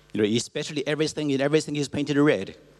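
A man speaks with a Chinese accent and ordinary pitch variation. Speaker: cultural institute director. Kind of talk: presentation. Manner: halting.

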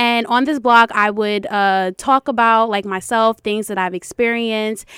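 Recorded very cleanly against a silent background, a woman speaks in a plain, everyday voice at a moderate pace with fairly even intonation and a dry, close sound with no echo. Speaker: educational consultant and foundation founder. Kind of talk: interview.

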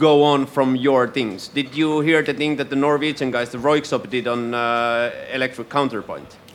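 Fairly even intonation marks this man's medium-pitched voice. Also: moderate pace, hardly any pauses. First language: Finnish. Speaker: radio host. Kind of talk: live interview. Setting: stage with audience.

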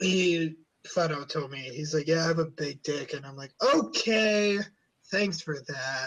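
An American-accented man with an unremarkable speaking voice, fairly high in pitch, talks at a fairly slow pace with ordinary pitch variation and big swings in loudness. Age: young. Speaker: podcast host. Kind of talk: casual chat.

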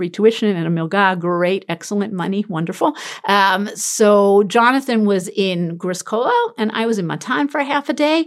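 Lively intonation and a New York accent mark this voice, which moves at a moderate pace. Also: woman. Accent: New York American. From US, Brooklyn, New York. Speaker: tour guide and Torah teacher. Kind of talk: casual interview.

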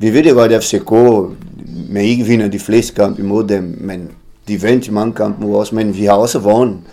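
A man with a Portuguese accent speaks in a dark, mellow tone with fairly even intonation. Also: fairly low pitch for a man, moderate pace. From Brazil, Tocantins. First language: Portuguese (speaking Danish). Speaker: former professional footballer. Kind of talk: interview. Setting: café. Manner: halting, repeats words.

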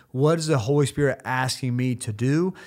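The speech moves at a moderate pace with fairly even intonation, captured on a very clean recording with a silent background. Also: man. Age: 30s. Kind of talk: devotional monologue.

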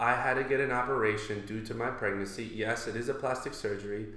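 In a room with audible echo and noticeable background noise, a man speaks with an American accent. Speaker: stand-up comedian. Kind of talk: casual chat.

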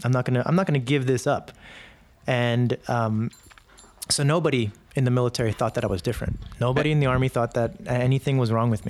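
This man talks at a very fast pace yet leaves long, frequent pauses, his medium pitch showing ordinary variation and his loudness very even. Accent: American. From New York City. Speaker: military veteran. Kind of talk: interview storytelling.

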